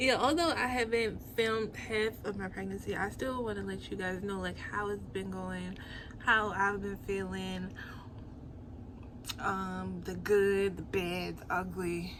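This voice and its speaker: A woman speaks fairly slowly, her voice echoing audibly in the room over noticeable background noise. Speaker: lifestyle vlogger. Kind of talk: get-ready-with-me vlog. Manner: casual, chatty; soft, near whisper.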